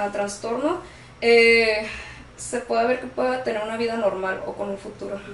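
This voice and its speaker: Noticeable background noise and audible room echo accompany a voice with ordinary pitch variation. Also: woman. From Tijuana, Mexico. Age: 20s. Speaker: guest sharing personal experience with borderline. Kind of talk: testimony. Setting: studio.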